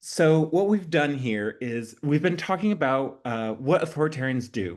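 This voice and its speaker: A man speaks in a normal speaking voice at a fairly high pitch. His pace is moderate. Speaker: activist trainer. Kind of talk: presentation.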